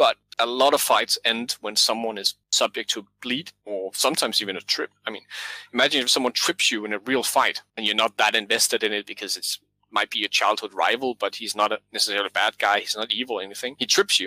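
A very fast-talking man with a Danish accent, fairly even intonation, a bright, sharp tone and a dry, close sound with no echo. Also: medium pitch for a man. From Denmark. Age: 30s. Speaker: game designer and author. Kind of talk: interview about game design.

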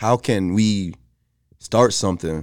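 The recording is very clean with a silent background, carrying a man's very deep, low voice. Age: 30s. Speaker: podcast co-host. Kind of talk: casual chat.

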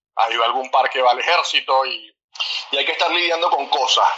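A man is speaking. His pace is moderate. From Venezuela. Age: 30s. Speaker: basketball coach. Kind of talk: interview. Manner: halting, repeats words.

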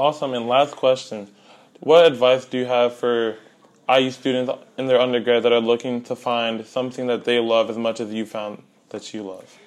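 At a moderate pace, a man talks in a monotone at medium pitch, his loudness swinging widely. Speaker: student podcast host. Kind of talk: interview; scripted intro.

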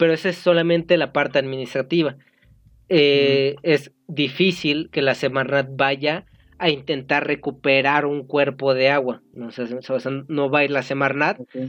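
A plain, everyday voice at a fairly slow pace with fairly even intonation. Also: man, fairly high pitch for a man. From Mexico, Estado de México. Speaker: podcast co-host, engineering student. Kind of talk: casual chat.

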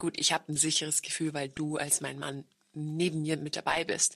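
At a moderate pace, a woman speaks with vocal fry at a very deep, low pitch. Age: 30s. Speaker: podcast host. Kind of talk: casual chat.

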